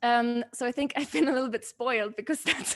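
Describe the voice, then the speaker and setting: The pace is very fast. Noticeable background noise sits behind the voice. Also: woman. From southern Germany (Munich, Stuttgart). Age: 20s. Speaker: creative entrepreneur and artist. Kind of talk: interview. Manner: halting, many repeats and fillers.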